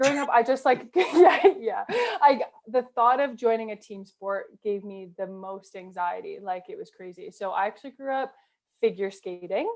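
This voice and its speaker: A woman with a Canadian accent talks at a moderate pace and fairly high pitch. Her voice shows very wide pitch swings and big swings in loudness. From Canada. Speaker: rugby player. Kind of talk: casual interview chat. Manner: chatty, many fillers.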